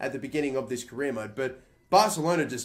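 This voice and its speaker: Speaking at a fairly quick pace, a man with an Australian accent uses lively intonation. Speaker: gaming YouTuber. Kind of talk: gameplay commentary. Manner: casual, conversational.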